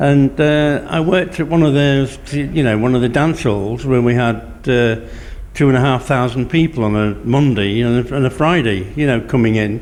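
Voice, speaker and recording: A man talks at a moderate pace with very even loudness. Noticeable background noise is present. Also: medium pitch for a man, ordinary pitch variation. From Lincolnshire, England (Cleethorpes). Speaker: community radio volunteer presenter, former DJ. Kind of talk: casual interview chat.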